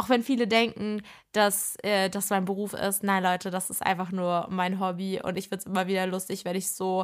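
This woman talks at a moderate pace and a medium pitch, in a flat monotone. The recording is very clean, with total silence behind her. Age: 20s. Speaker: podcast host and social media creator. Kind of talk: casual solo podcast chat.

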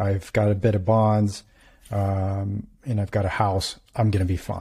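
Over a silent background in a very clean recording, a man speaks at a moderate pace in a fairly low pitch, his voice somewhat breathy. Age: 40s. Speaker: physician and podcast host. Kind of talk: interview.

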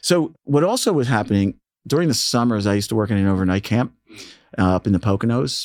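A man with an American accent and an ordinary speaking voice talks fairly quickly at a fairly low pitch with ordinary pitch variation, in a very clean recording with a silent background and a dry, close sound with no echo. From Philadelphia, Northeast. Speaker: radio DJ and station manager. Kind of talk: casual interview. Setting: studio.

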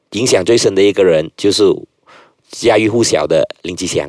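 A man talks with lively intonation and a fairly low pitch. The sound is dry and close, with no echo. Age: 30s. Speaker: politician and lawyer. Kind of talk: casual interview.

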